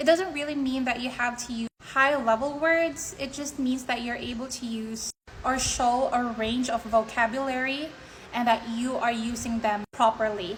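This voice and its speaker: With a Filipino accent, a woman speaks at a moderate pace in a high pitch with fairly even intonation. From Philippines. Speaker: IELTS tutor / content creator. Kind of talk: tutorial. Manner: casual, conversational.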